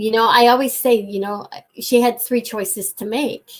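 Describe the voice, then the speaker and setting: A woman speaks with a Canadian accent. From Ontario, Canada. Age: 60s. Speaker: guest sharing life story. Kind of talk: interview testimony.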